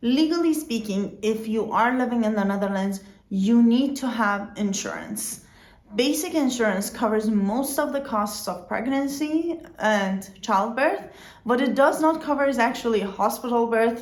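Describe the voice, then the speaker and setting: A woman with a non-native accent talks at a moderate pace with lively intonation and a fairly high pitch, with audible room echo around her. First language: not English. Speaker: vlogger. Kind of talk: informational vlog.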